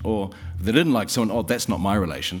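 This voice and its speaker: Delivered at a fairly quick pace, the speech carries ordinary pitch variation. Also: man. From New Zealand. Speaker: session chair. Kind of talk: formal introduction and thanks speech. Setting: stage with audience.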